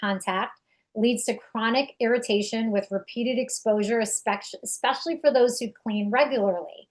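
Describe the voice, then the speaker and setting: A woman with a New York accent and a fairly high pitch speaks at a moderate pace with fairly even intonation. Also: hardly any pauses. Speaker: direct sales distributor. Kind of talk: product presentation.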